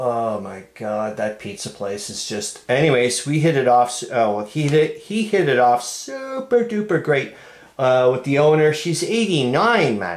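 Amid audible room echo, a man speaks at a fairly slow pace with very wide pitch swings. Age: 50s. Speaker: hobbyist video creator. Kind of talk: casual solo vlog. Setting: at home, upstairs room. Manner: animated, frequent laughter. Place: home room.

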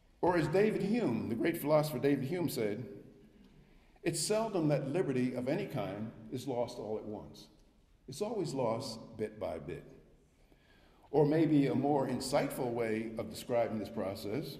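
A man with a dark, mellow, somewhat breathy tone speaks at a moderate pace, using very wide pitch swings and long, frequent pauses, in a room with audible echo. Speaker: guest lecturer, economics professor. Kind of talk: lecture. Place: hall. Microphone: podium.

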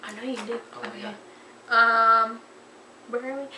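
A woman with a high pitch talks in fairly even intonation, with audible room echo and light background noise. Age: 20s. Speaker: fashion vlogger; vlogger. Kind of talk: casual chat. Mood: playful, laughing. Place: home room. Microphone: webcam.

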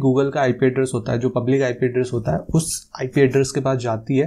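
A man's medium-pitched voice, dark and mellow, at a very fast pace. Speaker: tech YouTuber. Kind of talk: tutorial. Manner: casual. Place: studio. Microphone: lapel.

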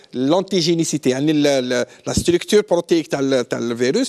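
A man's voice with lively intonation against a quiet background. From Algeria. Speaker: immunology professor; guest. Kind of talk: TV panel discussion; interview answer. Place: studio. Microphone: lapel.

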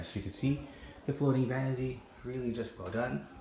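A man speaks at a very fast pace. Light background noise and audible room echo can be heard. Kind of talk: property tour commentary. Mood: enthusiastic. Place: home room. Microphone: phone near.

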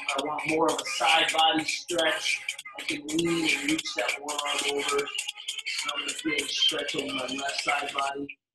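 A man speaks at a moderate pace with audible room echo and music in the background. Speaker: fitness instructor. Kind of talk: tutorial. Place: garage. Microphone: camera far.

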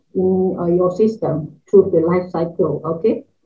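A woman speaks in a Malaysian accent at a fairly slow pace. Her voice is somewhat breathy, with ordinary pitch variation. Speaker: university lecturer. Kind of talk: conference presentation. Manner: halting, many fillers. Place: home room.

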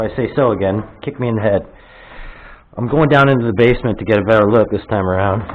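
This man's pace is very fast. The rise and fall of his pitch is ordinary. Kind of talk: casual vlog chat. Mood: curious, excited. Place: empty room. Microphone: phone near.

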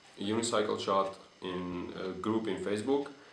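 With a non-native accent, a man talks at a fairly low pitch with ordinary pitch variation. Room echo is audible. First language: not English. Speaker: unicycle builder and vlogger. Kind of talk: video presentation of a product. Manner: halting, hesitant with fillers. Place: home room. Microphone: camera far.

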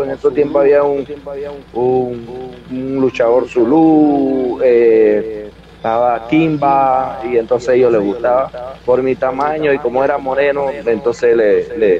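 A man speaks at a very slow pace, the sound dry with no echo and noticeable background noise behind him. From Panama, El Chorrillo neighbourhood of Panama City. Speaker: professional wrestler. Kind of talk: interview. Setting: video call. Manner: halting, many repetitions. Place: home room. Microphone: video call.

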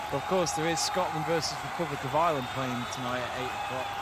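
Over loud background noise, the speech moves at a moderate pace in a dry sound with no echo. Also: man. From England. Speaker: sports watch-along streamer. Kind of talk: live match commentary chat. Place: home room.

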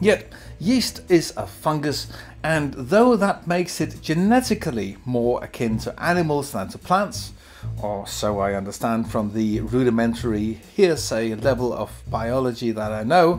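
A man speaks at a fairly slow pace. Faint music plays in the background. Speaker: beer reviewer. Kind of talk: casual commentary. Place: home room.

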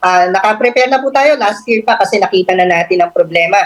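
Here is a woman with an ordinary speaking voice. She talks at a fairly quick pace with ordinary pitch variation. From Philippines, Pampanga. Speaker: government agency official. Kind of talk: radio interview.

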